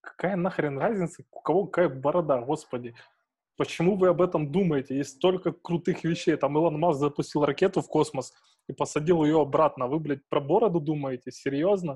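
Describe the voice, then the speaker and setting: In a plain, everyday voice, a man speaks at a moderate pace with a fairly high pitch. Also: ordinary pitch variation, quiet background. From Ukrainian provinces. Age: 20s. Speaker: podcast host. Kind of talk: casual chat.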